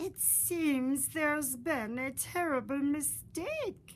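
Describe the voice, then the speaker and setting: A woman's put-on character voice, high-pitched and very slow, over clear background noise. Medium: read story. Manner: blunt, gruff.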